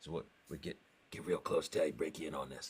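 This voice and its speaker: A man's voice with vocal fry, very wide pitch swings and a fairly quick pace. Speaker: voiceover artist; musician, guitarist and singer.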